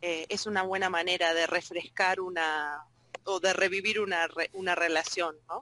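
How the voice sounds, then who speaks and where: This woman's voice has a bright, sharp tone and fairly low pitch. She talks in a Rioplatense accent with flat, monotone intonation. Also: moderate pace. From Argentina. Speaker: Spanish and French teacher. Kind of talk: group discussion. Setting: video conference.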